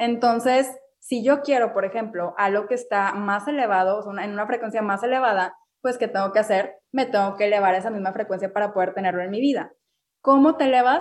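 A woman's fairly high voice, fairly quick, with ordinary pitch variation. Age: 20s. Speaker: restaurant owner and wellness influencer. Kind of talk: interview.

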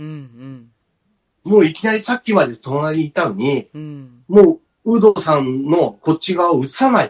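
Talking at a moderate pace, a man with a fairly high voice swings his pitch very widely in a dry, close sound with no echo. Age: 50s. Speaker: podcast host. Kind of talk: casual chat. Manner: animated.

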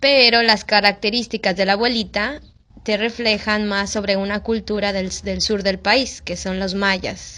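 A woman speaks in a bright, sharp tone. Her intonation is monotone and flat. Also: medium pitch for a woman, fairly slow pace. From Mexico. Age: 20s. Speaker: missionary. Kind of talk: casual interview.

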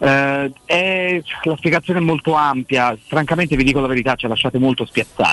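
In a plain, everyday voice, someone speaks at a fairly quick pace with ordinary pitch variation and very even loudness, dry and close with no echo. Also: man, fairly high pitch for a man. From Florence. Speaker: sports journalist. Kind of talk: casual chat.

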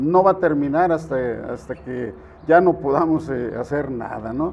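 At a fairly slow pace, a man speaks in a fairly high voice with ordinary pitch variation. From Jalisco, Mexico (Estipac). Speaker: political candidate. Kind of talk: interview. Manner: halting, frequent repetitions.

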